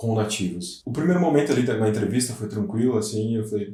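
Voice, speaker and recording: A man speaks with ordinary pitch variation. There is audible room echo. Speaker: English teacher. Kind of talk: casual chat.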